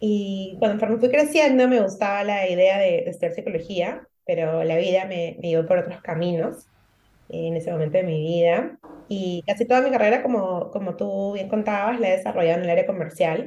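A woman talks at a moderate pace and medium pitch, her tone dark and mellow, with ordinary pitch variation. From Peru. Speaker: emotional support coach. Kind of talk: interview conversation.

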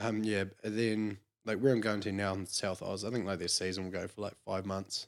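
Speaking fairly quickly in a New Zealand accent, a man keeps a fairly low pitch and a monotone, flat intonation. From New Zealand, Clinton near Clutha. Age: 20s. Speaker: sheep shearer. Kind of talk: casual chat.

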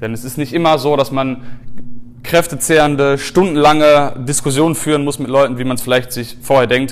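Audible room echo surrounds a man's fairly high voice. He speaks at a fairly quick pace with fairly even intonation. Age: 20s. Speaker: animal rights activist and podcast host. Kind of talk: lecture. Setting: stage with audience.

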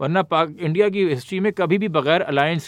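A man speaks at a moderate pace with a fairly high pitch. His is a normal speaking voice with ordinary pitch variation. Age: 30s. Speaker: politician and activist. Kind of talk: casual chat.

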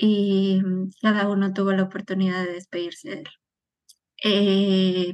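The woman's pitch is medium. She speaks at a very slow pace. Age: 30s. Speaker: suicide loss survivor. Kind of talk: testimony.

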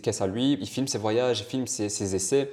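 Speaking at a fairly quick pace, a man uses a dark, mellow, medium-pitched voice with ordinary pitch variation. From Italy, then Belgium. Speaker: car spotter. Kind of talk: casual chat. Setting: in person.

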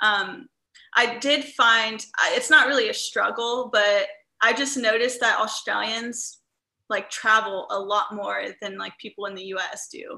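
A woman with a Midwestern American accent speaks fairly slowly at a fairly high pitch, her tone bright and sharp, with ordinary pitch variation and big swings in loudness. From US Midwest, Indiana. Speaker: travel entrepreneur and digital nomad coach. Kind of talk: casual interview chat.

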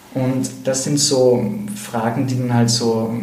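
Noticeable background noise sits under the voice, along with audible room echo. The intonation is fairly even. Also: man. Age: 30s. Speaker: psychotherapist. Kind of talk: interview. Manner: halting.

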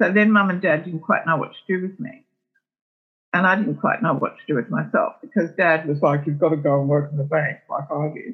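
A woman with an Australian accent, very deep, low pitch, ordinary pitch variation and a fairly quick pace. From Melbourne, Australia. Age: 70s. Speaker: entertainment publicist. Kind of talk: interview conversation. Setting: remote call from her kitchen.

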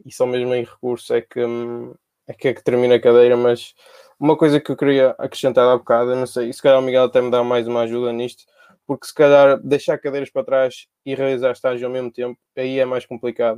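A man speaks at a medium pitch and a very fast pace, his dark, mellow tone held to a monotone, flat intonation while his loudness swings widely. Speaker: pharmacy student. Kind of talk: casual chat.

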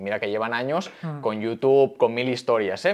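Against a quiet background, a man with a plain, everyday voice talks at a fairly quick pace, medium in pitch with ordinary pitch variation. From Barcelona, Spain. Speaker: crypto company CEO and content creator. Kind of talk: casual interview. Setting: in-person studio interview.

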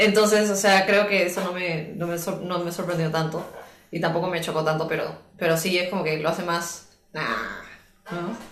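Fairly even intonation and a moderate pace come through audible room echo, with music in the background. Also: woman, fairly low pitch for a woman. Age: 30s. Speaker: podcast guest. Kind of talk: casual chat.

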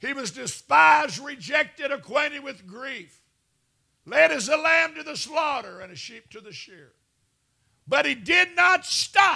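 A man speaks in a raised, projected voice at an extremely high pitch, with an animated tone and a fairly slow pace. His pitch swings very widely and his loudness shifts a great deal. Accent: Southern US. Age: 60s. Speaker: televangelist preacher. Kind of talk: sermon.

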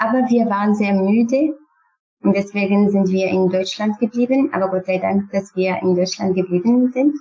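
With a Kurdish accent, a woman talks at a moderate pace and medium pitch, using ordinary pitch variation and very even loudness. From Syria, Kurdish. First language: Kurdish (speaking German). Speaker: refugee, former student. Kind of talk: interview. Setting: online call. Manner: halting.

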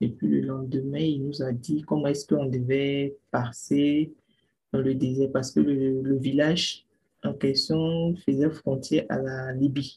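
A woman's very deep, low, somewhat breathy voice, very slow and monotone, with flat intonation. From Ivory Coast. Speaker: migrant sharing her journey. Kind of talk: personal testimony.

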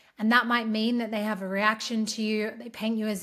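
A woman's fairly high-pitched voice with an Australian accent, on a very clean recording with a silent background. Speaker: podcast host and empowerment coach. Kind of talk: solo podcast monologue.

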